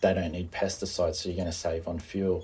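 Somewhat breathy, a man's very deep, low voice has a dark, mellow tone and monotone, flat intonation. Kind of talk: interview.

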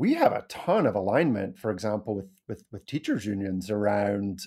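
With an Edinburgh accent, a man talks at a moderate pace in a fairly low pitch and a dark, mellow tone. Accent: Scottish, Edinburgh area. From Scotland. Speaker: criminal justice reform advocate. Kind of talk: interview conversation.

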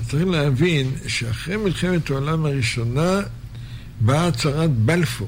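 There is noticeable background noise and audible room echo as a man with a fairly high pitch talks at a fairly slow pace with ordinary pitch variation. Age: 70s. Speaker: rabbi. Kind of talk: lecture.

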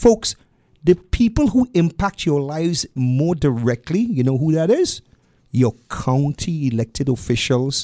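A man's dark, mellow voice in a Trinidadian accent, fairly slow in pace, with very wide pitch swings. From Trinidad and Tobago. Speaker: political activist. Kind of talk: radio interview. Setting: radio studio. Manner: lilting, melodious.

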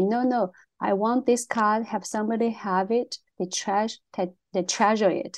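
Against a quiet background, a woman speaks fairly slowly at a fairly high pitch, with ordinary pitch variation. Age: 40s. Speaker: podcast co-host, artist. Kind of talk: casual chat. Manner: halting.

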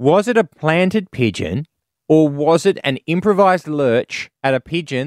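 An Australian man with a fairly high pitch and lively intonation is heard in a very clean recording with a silent background and a dry, close sound with no echo. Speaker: comedian, co-host. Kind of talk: casual chat.

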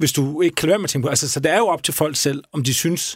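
His voice sits fairly high. The man talks at a very fast pace. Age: 40s. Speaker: radio podcast host. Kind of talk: interview.

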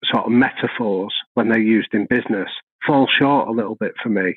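A man with a Mancunian accent and ordinary pitch variation. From North Manchester, England. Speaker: professor of organizational psychology and consultant. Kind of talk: podcast interview.

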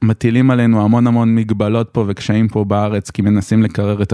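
Fairly low in pitch, a man speaks at a fairly quick pace in a dark, mellow tone. The sound is dry and close, with no echo. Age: 30s. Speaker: lawyer. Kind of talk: interview. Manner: hesitant, many fillers.

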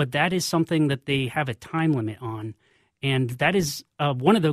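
A somewhat breathy man's voice at medium pitch with ordinary pitch variation and a fairly quick pace, dry and close with no echo, on a very clean recording with a silent background. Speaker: cannabis policy lobbyist. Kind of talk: radio interview. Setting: radio studio. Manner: calm.

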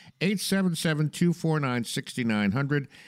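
This man has an ordinary speaking voice, fairly high in pitch, with lively intonation. The recording is very clean with a silent background and a dry, close sound free of echo. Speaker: radio host. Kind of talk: radio talk show. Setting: radio studio.

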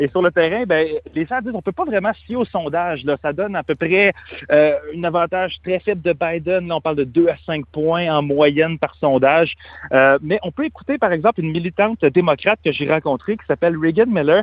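Fairly quick delivery from a man with a high voice, pitch varying in an ordinary way. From Canada. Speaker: freelance journalist. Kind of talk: field report interview. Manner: halting, frequent repetitions.

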